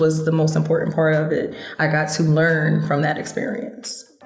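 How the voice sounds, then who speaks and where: The speaker talks at a fairly slow pace with an American accent. Audible room echo and noticeable background noise fill the recording. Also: woman. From Philadelphia, US. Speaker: singer-songwriter. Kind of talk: interview.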